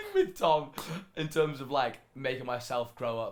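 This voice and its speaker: With ordinary pitch variation and a moderate pace, a man talks over noticeable background noise. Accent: British. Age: 20s. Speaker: esports player. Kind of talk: casual chat.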